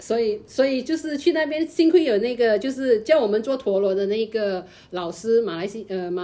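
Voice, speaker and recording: This woman's voice sits fairly high in pitch, with a dark, mellow tone. She talks at a moderate pace with hardly any pauses. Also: lively intonation. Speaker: podcast co-host. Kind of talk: casual chat.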